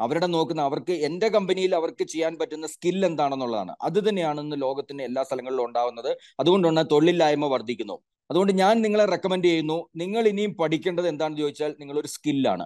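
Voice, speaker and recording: A man uses a normal speaking voice, fairly high in pitch with ordinary pitch variation, against a quiet background. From Kerala. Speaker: career counsellor and education consultant. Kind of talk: webinar presentation. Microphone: video call.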